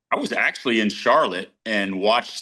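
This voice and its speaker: Bright and sharp in tone, a man talks with an American accent. His voice sits fairly low and his pace is moderate. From Ohio. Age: 60s. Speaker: racing driver. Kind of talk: casual interview. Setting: video call.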